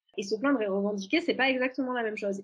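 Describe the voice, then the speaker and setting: A somewhat breathy, fairly high-pitched woman's voice with ordinary pitch variation. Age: 30s. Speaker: journalist and author. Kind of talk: casual interview chat.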